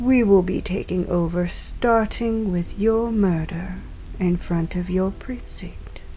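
With noticeable background noise behind her, a woman speaks very slowly in a menacing tone. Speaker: crime boss character in audio drama. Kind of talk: noir detective audio drama, scripted villain dialogue. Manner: formal, imperious, coolly menacing; measured, polished, old-fashioned diction.

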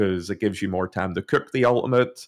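An Irish accent with fairly even intonation. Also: man. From Ireland. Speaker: gaming content creator. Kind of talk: casual chat.

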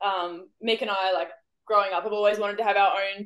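A woman speaks at a fairly quick pace with an Australian accent. Her pitch sits in the medium range. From Australia, Victoria. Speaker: wildlife educator, business owner. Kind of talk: casual chat.

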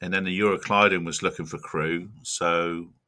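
This man speaks at a moderate pace in a very deep, low voice with a bright, sharp tone. The recording is very clean, with a silent background. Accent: West Country. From South Devon, England. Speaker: crab fisherman and shellfish chef. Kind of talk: casual interview.

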